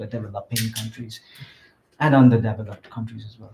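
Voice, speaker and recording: This man's voice comes across as somewhat breathy. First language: not English. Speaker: app developer pitching project. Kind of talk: project pitch. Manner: halting, many fillers.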